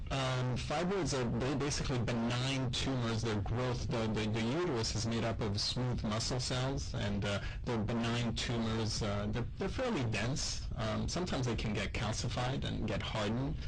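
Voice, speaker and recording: A medium-pitched male voice amid noticeable background noise and audible room echo. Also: ordinary pitch variation, moderate pace, hardly any pauses, very even loudness. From Quebec, Montreal. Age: 40s. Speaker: gynecologic surgeon. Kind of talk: radio interview. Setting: radio studio. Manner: hesitant, many fillers.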